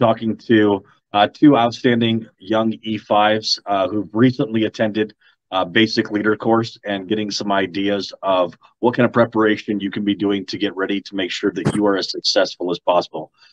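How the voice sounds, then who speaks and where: A man's fairly low, ordinary speaking voice with fairly even intonation and a moderate pace, in a dry sound with no echo and a quiet background. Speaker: army recruiter host. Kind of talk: interview host introduction. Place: office. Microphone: video call.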